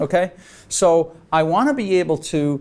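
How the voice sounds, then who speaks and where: With an American accent, a man speaks at a fairly high pitch in an animated tone and with lively intonation, in a very clean recording with a silent background. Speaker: leadership speaker. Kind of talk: workshop Q&A.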